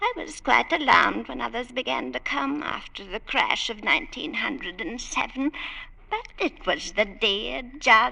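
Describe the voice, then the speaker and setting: A female-sounding, put-on character voice moves at a moderate pace over light background noise. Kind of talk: 1940s radio acting. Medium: old radio play. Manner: imperious, snobbish.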